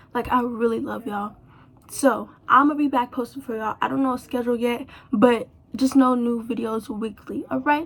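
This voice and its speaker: A quiet, high-pitched woman's voice at a moderate pace. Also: fairly even intonation. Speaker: hair YouTuber. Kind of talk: casual vlog talk to camera. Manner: quiet, low energy.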